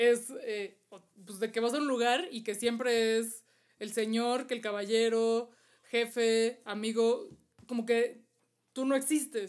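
A woman speaks at a fairly high pitch with fairly even intonation. Her pace is very slow, broken by long, frequent pauses. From Mexico. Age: 30s. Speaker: travel podcast co-host. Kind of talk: casual chat.

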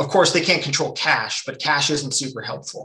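A man with a western Canadian accent speaks over noticeable background noise. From Canada, British Columbia (Nelson). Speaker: economist, former college football player. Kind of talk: interview.

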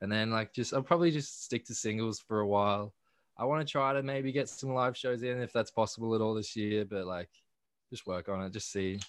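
An Australian accent comes through at a fairly quick pace, with ordinary pitch variation. The background is quiet. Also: man, medium pitch for a man. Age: 20s. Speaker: independent musician. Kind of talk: casual interview.

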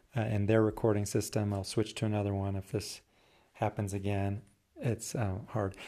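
Speaking at a moderate pace, a man has a fairly low pitch and a dark, mellow tone. His intonation is monotone and flat, and the recording is very clean with a silent background. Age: 40s. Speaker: poet and podcast host. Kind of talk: solo podcast monologue with poetry readings. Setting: home recording. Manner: rambling, halting with fillers.

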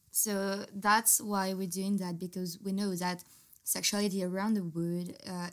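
A woman speaks in a French accent at a medium pitch. Her intonation is flat and monotone. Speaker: podcast host. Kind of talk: casual chat; scripted intro.

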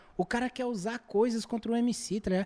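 Very clean with a silent background, the recording is dry and close with no echo, as a man at an extremely high pitch speaks at a fairly quick pace in a dark, mellow tone. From Brazil, Federal District (Guará). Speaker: battle rap MC. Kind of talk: casual chat. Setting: studio.

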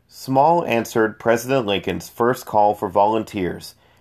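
Reading aloud in a natural voice, pitch moving in an ordinary way

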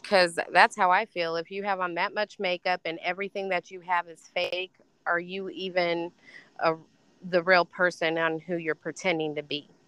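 With an American accent, a woman with a bright, sharp tone and fairly low pitch speaks at a moderate pace in a monotone, flat way, recorded with a dry, close sound and no echo. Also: big swings in loudness, quiet background.

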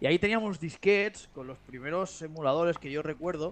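The speaker is a man with an ordinary speaking voice. His pitch is fairly high and his pace moderate. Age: 30s. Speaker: podcast co-host and intro narrator. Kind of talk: casual chat.

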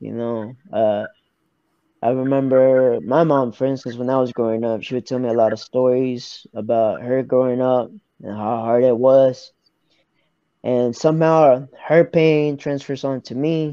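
A man's ordinary speaking voice, medium in pitch, fairly slow and fairly even in intonation. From Arkansas, US South. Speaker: professional MMA fighter. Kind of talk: interview.

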